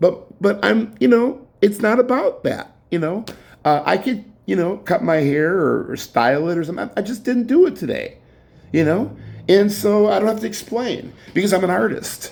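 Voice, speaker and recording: This man's voice is high-pitched for a man, with an animated tone. His intonation is lively. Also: moderate pace. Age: 60s. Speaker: artist vlogger. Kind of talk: casual monologue. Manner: halting, many fillers.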